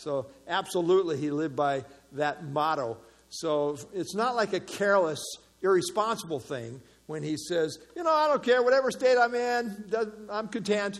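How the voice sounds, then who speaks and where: At a moderate pace, a man speaks in a high pitch. His pitch swings very widely. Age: 60s. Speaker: Bible study teacher. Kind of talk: Bible study teaching with group discussion. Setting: small group meeting with participants. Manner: halting, with frequent fillers and repetitions.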